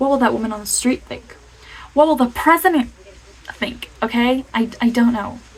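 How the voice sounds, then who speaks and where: A woman speaks with a high pitch, leaving long, frequent pauses. Noticeable background noise runs underneath. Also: ordinary pitch variation, moderate pace. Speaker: motivational vlogger. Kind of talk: casual motivational talk to camera. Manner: animated; stuttering at times.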